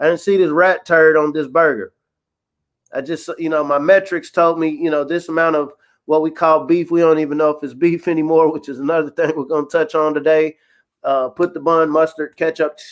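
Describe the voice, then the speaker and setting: A fairly high-pitched man with a Kentucky accent at a fairly quick pace, in a very clean recording with a silent background. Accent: Kentucky twang. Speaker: podcast co-host. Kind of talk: casual chat. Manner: animated.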